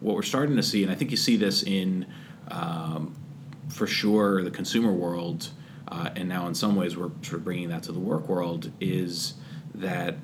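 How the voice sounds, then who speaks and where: A man with an American accent speaks at a moderate pace in a very deep, low pitch, with ordinary pitch variation, audible room echo and noticeable background noise. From Massachusetts (Andover). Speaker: tech startup founder and CEO. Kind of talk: casual interview.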